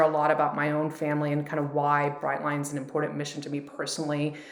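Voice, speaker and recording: Noticeable background noise and audible room echo surround the recording. A woman speaks with a very deep, low pitch. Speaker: startup founder and CEO. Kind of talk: interview. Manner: fast; direct.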